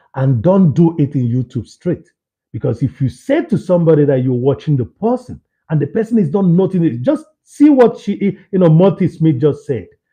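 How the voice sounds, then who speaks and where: Loud speech moves through very wide pitch swings. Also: man, fairly high pitch for a man, moderate pace. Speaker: live streamer. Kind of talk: casual live stream chat. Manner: halting.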